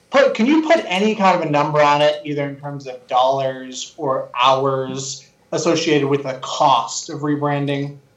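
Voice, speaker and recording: With an ordinary speaking voice, a fairly high-pitched man talks at a moderate pace, hardly pausing, and his loudness swings widely. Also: ordinary pitch variation. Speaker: co-host. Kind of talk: live interview chat.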